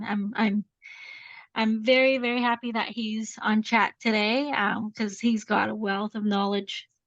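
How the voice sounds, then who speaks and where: Fairly high, somewhat breathy woman's voice in a Canadian accent, monotone and flat, at a fairly slow pace, with a dry, close sound with no echo and a quiet background. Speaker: implementation consultant. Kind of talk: webinar presentation.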